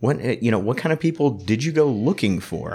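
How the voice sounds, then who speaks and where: Over a silent background on a very clean recording, a man talks at a moderate pace with vocal fry and very wide pitch swings. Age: 40s. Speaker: radio host. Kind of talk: casual interview. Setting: arts center during renovations.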